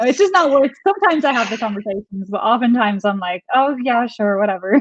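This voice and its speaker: In an Irish accent, a woman with a high-pitched voice talks very fast, her pitch swinging very widely. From Ireland. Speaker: travel vlogger. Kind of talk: casual chat. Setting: livestream.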